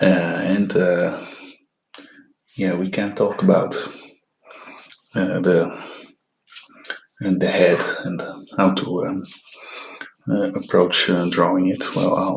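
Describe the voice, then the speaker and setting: A quiet man speaks at a very slow pace with long, frequent pauses, and room echo is audible. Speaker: artist demonstrating sketching. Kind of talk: tutorial. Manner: hushed, quiet voice; halting, many fillers.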